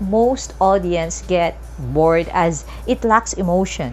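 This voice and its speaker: With music behind her, a woman talks amid audible room echo. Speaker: teacher. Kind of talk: lecture.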